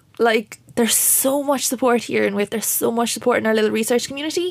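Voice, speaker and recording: A woman with a Waterford accent at a fairly quick pace and ordinary pitch variation, amid noticeable background noise. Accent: Irish, Waterford. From Waterford, Ireland. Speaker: PhD researcher. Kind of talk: panel interview.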